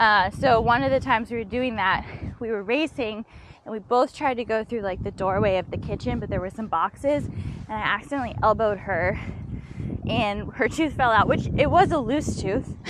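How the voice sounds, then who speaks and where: In an American accent, a woman talks at a moderate pace with a fairly high pitch and ordinary pitch variation, in an ordinary speaking voice. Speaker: professional climber. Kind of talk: casual chat. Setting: outdoors.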